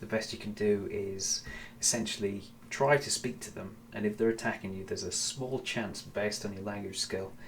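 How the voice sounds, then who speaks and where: Against noticeable background noise, a man mumbles at a moderate pace. His pitch is fairly low and his intonation fairly even. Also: big swings in loudness. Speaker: gaming streamer. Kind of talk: live gameplay commentary. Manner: mumbling; halting.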